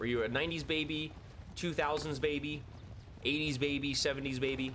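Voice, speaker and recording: Fairly high in pitch, a man speaks in an animated tone at a very fast pace. Room echo is audible. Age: 30s. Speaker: video game streamer. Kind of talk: casual live stream chat. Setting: live stream.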